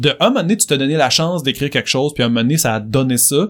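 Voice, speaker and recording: An animated tone with lively intonation in a Quebec accent, in a very clean recording with a silent background. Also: man. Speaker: songwriter and musician. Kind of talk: interview.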